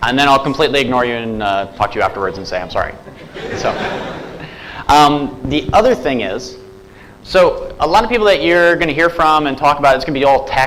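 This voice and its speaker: Very fast speech from a man with an American accent and a fairly high pitch, amid audible room echo and noticeable background noise. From US. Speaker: software developer and conference speaker. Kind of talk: conference talk. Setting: stage with audience. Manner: casual, animated.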